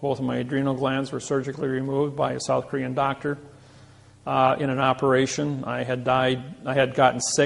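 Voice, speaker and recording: A man's medium-pitched voice in an American accent, flat and monotone at a fairly quick pace, with noticeable background noise. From US Midwest, Indiana. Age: 60s. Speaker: lecturer. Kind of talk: lecture.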